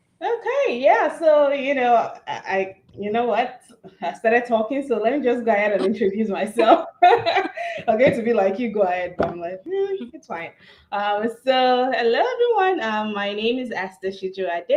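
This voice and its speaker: Over noticeable background noise, a woman with a high pitch talks at a moderate pace, her pitch swinging very widely and her loudness shifting a lot. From Nigeria. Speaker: youtuber, university staff. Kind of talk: livestream Q&A chat. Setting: livestream.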